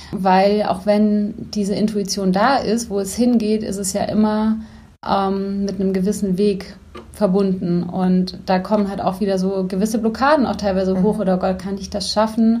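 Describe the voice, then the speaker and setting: A somewhat breathy woman's voice at medium pitch, moderate in pace, monotone and flat in intonation, with audible room echo. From Bavaria, Germany (Neuburg an der Donau). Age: 30s. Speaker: life coach. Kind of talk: interview.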